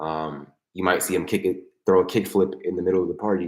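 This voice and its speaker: This man's voice is very deep and low in pitch. He talks at a fairly quick pace. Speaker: skateboarding vlogger and streamer. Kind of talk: live stream chat. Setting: live stream at home desk. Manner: casual, rambling with fillers.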